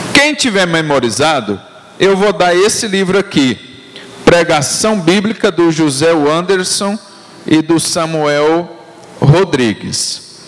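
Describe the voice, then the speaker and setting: A man talks at a very slow pace with long, frequent pauses and noticeable background noise. His pitch is high and his intonation lively. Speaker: pastor. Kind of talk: teaching sermon. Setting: church. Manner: slow, deliberate; repetitive call-and-response.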